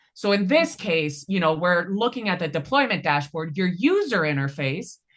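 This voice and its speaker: An unremarkable speaking voice from a woman at medium pitch and moderate pace. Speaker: data analytics trainer. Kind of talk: hands-on tutorial.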